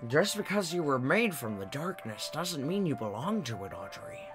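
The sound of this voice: Clear music plays behind a man doing a put-on character voice that is gravelly and fairly high-pitched. He speaks at a moderate pace.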